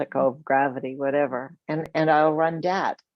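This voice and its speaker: A woman with a very deep, low pitch speaks at a fairly slow pace in a dry, close sound with no echo. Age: 70s. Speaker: retired psychologist. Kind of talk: interview.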